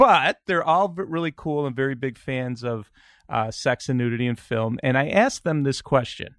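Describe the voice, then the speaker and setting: A man talks with a Chicago accent at a medium pitch. The sound is dry and close, with no echo. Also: ordinary pitch variation, moderate pace. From Chicago, US Midwest. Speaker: podcast host. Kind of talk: casual chat. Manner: halting, many fillers.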